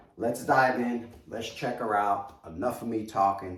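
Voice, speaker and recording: A man talks in a medium pitch with a New York accent, somewhat breathy and animated in tone. Audible room echo surrounds his voice. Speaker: collectibles reviewer. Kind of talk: product review video.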